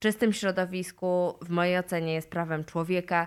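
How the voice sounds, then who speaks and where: A woman's voice, an ordinary speaking voice, medium in pitch, at a fairly slow pace with fairly even intonation, on a very clean recording with a silent background. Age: 40s. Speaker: human rights lawyer. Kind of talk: interview.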